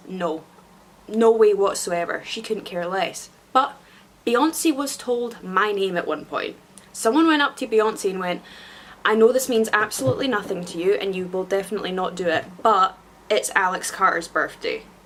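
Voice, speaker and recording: A woman speaks at a moderate pace with a fairly high pitch and lively intonation. Noticeable background noise is present. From Scotland. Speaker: YouTuber. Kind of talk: casual vlog monologue. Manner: animated.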